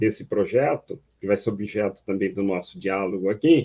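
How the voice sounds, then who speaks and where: A man speaks in a dark, mellow tone. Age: 60s. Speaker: online talk host, researcher. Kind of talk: panel discussion.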